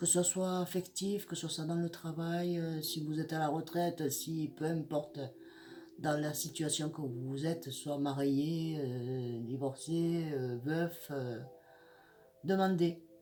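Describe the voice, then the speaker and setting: Speaking at a very slow pace, a woman uses a very deep, low voice with fairly even intonation. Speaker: psychic tarot reader. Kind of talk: horoscope tarot reading. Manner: halting, many hesitations.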